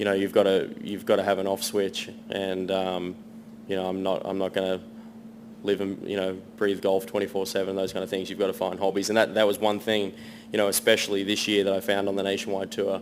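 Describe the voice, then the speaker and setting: Speaking at a fairly quick pace, a man with an American accent keeps his fairly low voice in a flat monotone. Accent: Australian with a slight American twang. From Sydney, Australia. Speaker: professional golfer. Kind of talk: press conference. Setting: media centre press conference.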